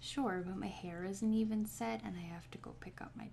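Soft-spoken and fairly slow, the voice comes through over light background noise. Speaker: comic reader. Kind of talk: reading aloud with casual asides. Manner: soft ASMR reading voice. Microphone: phone near.

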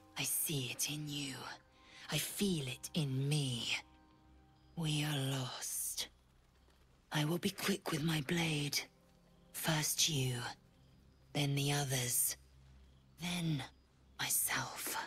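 Over music in the background, a woman speaks at a very slow pace and a very deep, low pitch, with fairly even intonation and long, frequent pauses. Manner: grim, intense, threatening.

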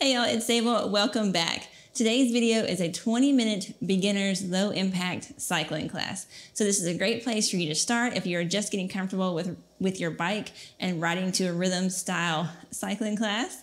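Her delivery is at a moderate pace, and this woman's pitch varies in an ordinary way. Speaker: fitness instructor. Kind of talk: workout class instruction. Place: home room.

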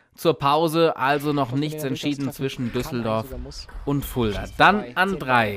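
At a fairly slow pace, a man with a fairly high pitch speaks in a plain, everyday voice with ordinary pitch variation. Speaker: sports commentator. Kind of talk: live sports commentary over highlight footage. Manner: fluent, upbeat, builds excitement around key points.

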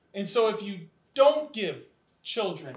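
Room echo is audible around a man's voice. His pitch variation is ordinary. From US Midwest. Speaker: education nonprofit leader, formerly incarcerated; panelist. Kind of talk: panel discussion. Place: classroom.

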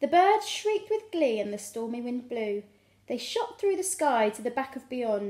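It sounds like plain reading aloud.

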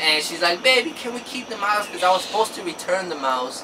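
With an American accent, the fairly quick speech runs over noticeable background noise. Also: man. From Georgia, US. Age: 20s. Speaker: YouTuber. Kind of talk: casual Q&A chat. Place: home room. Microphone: camera far.

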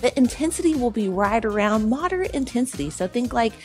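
A woman's voice, with faint music in the background. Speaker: fitness instructor. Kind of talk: tutorial. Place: studio.

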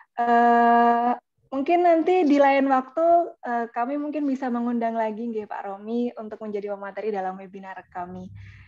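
Faint music plays in the background as the speech moves at a moderate pace, with lively intonation and big swings in loudness. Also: woman, high pitch for a woman. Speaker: student webinar organizer; webinar moderator. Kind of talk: formal closing remarks; moderator closing remarks. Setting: video call. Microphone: video call.

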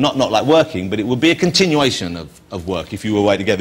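A somewhat breathy man at a very fast pace, with very wide pitch swings. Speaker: talk show host. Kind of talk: interview question. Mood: jokey, playful. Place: studio. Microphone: lapel.

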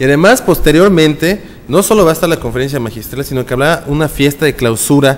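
A man talks at a fast pace with ordinary pitch variation. Faint background noise can be heard.

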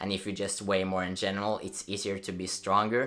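The man's voice is fairly low in pitch, with a bright, sharp tone. His intonation stays monotone and flat. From Norway. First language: Norwegian. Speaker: fitness youtuber. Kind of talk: casual explainer video. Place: home room.

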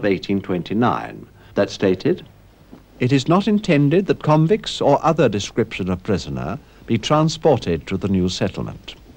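Male speech at a medium pitch and moderate pace, marked by vocal fry and very wide swings in pitch. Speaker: documentary narrator. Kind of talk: 1970s documentary narration, scripted, measured and authoritative.

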